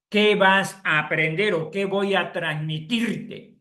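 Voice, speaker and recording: A man's high-pitched voice, bright and sharp in tone, at a very slow pace with ordinary pitch variation. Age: 70s. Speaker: chemical engineer giving an agricultural webinar. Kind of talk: lecture. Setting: live online session.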